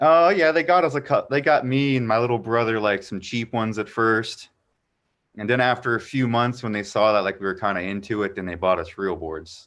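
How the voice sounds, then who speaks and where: In a plain, everyday voice with an American accent, a man at medium pitch talks at a fairly quick pace with lively intonation against a quiet background. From Florida. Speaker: professional skateboarder. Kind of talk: casual chat.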